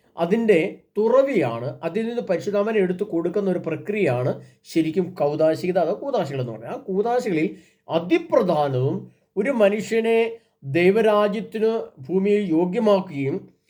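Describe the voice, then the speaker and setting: The speaker is a man with a high pitch. His tone is dark and mellow. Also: lively intonation. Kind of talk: religious sermon and event announcement. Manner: halting.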